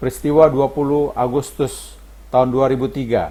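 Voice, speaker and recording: Music plays behind a man speaking. His medium-pitched voice keeps a fairly even intonation. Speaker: voice-over narrator. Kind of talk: scripted narration. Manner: formal.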